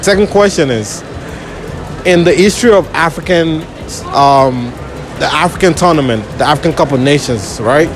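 With music in the background, a man speaks at a fairly slow pace in a dry sound with no echo. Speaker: street quiz host. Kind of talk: public interview quiz. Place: market.

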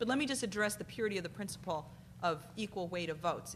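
Over light background noise, a somewhat breathy woman speaks at a very fast pace with ordinary pitch variation. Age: 40s. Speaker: civil rights lawyer. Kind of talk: conference panel talk. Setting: stage with audience. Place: hall. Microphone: podium.

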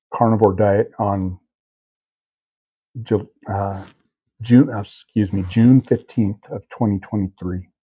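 Quiet and somewhat breathy, a man with a fairly low voice speaks at a very slow pace with fairly even intonation and long, frequent pauses. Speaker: diet vlogger, hunter. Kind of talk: casual vlog update. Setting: home kitchen at night. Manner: hushed, keeping voice down; hesitant, many fillers.

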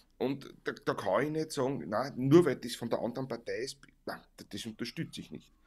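With a Viennese accent, a man talks at a moderate pace over a quiet background, his loudness swinging widely. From Vienna, Austria; Austria. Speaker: Viennese folk musician, livestream co-host; livestream co-host. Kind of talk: casual chat. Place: home room. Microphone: studio mic.

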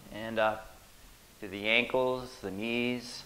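A man is speaking. His intonation is fairly even. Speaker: fitness instructor. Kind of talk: exercise class instruction. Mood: friendly and playful. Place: gym. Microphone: camera far.

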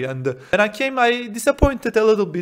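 A man with a Turkish accent speaks with very wide pitch swings. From Turkey. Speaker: exchange student; interview guest. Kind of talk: interview; interview answer. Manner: halting. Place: home room. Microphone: handheld.

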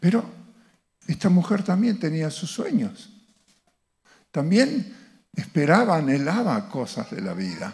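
A high-pitched man at a fairly slow pace, with lively intonation and long, frequent pauses. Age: 70s. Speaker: visiting speaker at a church; speaker. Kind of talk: church teaching talk with slides. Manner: halting, with fillers and restarts. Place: church. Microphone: handheld.

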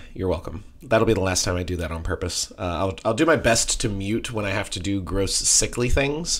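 A man puts on a raspy character voice, fairly low in pitch, with lively intonation, a moderate pace and hardly any pauses.

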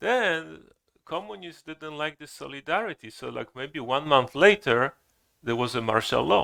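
Recorded very cleanly against a silent background, a man with a fairly high pitch talks at a fairly slow pace in a bright, sharp tone with vocal fry and big swings in loudness. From Poland. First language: Polish (speaking Korean). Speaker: Zen teacher. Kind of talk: dharma talk. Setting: temple hall with audience. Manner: halting.

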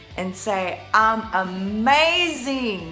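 Faint background music behind a female speaker. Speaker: motivational vlogger. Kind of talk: casual vlog chat. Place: home room. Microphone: phone near.

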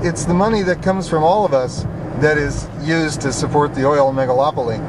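A man at a moderate pace, in a dry sound with no echo, over noticeable background noise. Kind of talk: casual commentary while driving. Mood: indignant, persuasive. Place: car. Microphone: camera far.

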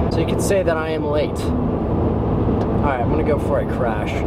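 A man's voice with a dry, echo-free sound over loud background noise. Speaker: vlogger. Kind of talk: casual vlog chat. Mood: joking, playful. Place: car. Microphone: phone near.

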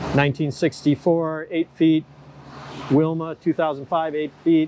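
A man talks with light noise behind him, and the sound is dry, without any echo. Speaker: boat mechanic vlogger. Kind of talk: casual vlog chat. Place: street. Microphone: lapel.

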